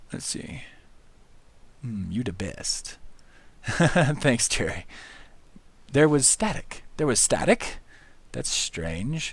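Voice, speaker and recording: Very slowly, with long, frequent pauses, a man of medium pitch speaks with vocal fry and very wide pitch swings. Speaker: livestreaming artist. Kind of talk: casual livestream chat while drawing. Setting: livestream, talking to chat. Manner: less enthusiastic, relaxed and unhurried.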